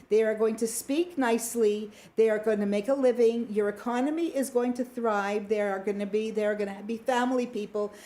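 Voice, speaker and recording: A woman with a Canadian accent, fairly high in pitch, with a dark, mellow tone, fairly even intonation, a fairly quick pace and hardly any pauses. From Canada, Toronto. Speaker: radio talk show host. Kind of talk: live radio panel discussion.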